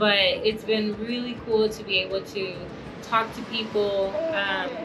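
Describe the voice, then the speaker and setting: A woman's fairly high, fairly even voice at a fairly slow pace, with noticeable background noise and audible room echo. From Puerto Rico. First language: Spanish. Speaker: family vlogger, missionary. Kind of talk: casual conversation.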